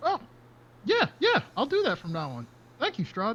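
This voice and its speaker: A man uses a put-on character voice, raised and projected at an extremely high pitch. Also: moderate pace. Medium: actual play. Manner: giggly.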